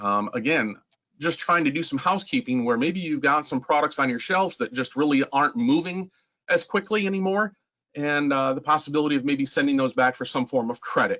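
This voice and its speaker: Lively intonation and a fairly high pitch from a man. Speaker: software trainer. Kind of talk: webinar tutorial. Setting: online meeting. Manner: fast.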